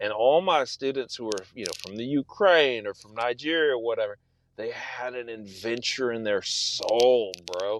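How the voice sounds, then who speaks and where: With a Texan accent, a man talks at a moderate pace and medium pitch, his tone animated and his pitch variation ordinary, the sound dry and close with no echo. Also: big swings in loudness. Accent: Texan American English. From South Texas. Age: 40s. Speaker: novelist. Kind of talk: casual interview chat. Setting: podcast.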